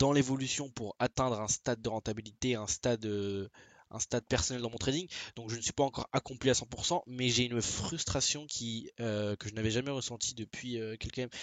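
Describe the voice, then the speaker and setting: A man speaks at medium pitch. His intonation stays fairly even. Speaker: forex trader vlogger. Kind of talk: trading video diary with chart analysis. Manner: fast; halting, many fillers and restarts.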